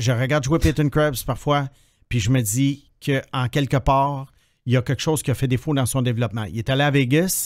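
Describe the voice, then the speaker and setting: Fairly quick male speech over a quiet background. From Quebec. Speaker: hockey prospects analyst, podcast co-host. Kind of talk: casual chat. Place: studio. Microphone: studio mic.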